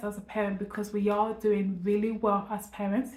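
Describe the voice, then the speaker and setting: A woman with a British accent speaks at a fairly quick pace, her pitch medium. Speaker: parenting vlogger. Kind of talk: casual vlog to camera. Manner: fast.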